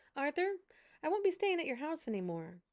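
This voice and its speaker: A squeaky, high put-on character voice from a woman, fairly quick and full of very wide pitch swings. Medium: read story. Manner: dry.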